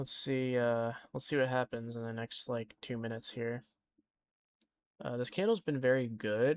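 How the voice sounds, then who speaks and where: The sound is dry and close with no echo as a man at a medium pitch speaks at a moderate pace with ordinary pitch variation. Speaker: day trader streaming live. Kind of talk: live trading commentary. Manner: hesitant, many fillers.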